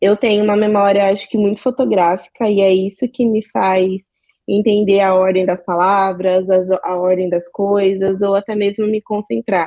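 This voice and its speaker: Her tone dark and mellow, a woman speaks at a medium pitch and a moderate pace with fairly even intonation and very even loudness in a dry, close sound with no echo. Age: 20s. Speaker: communications professional. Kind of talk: panel discussion.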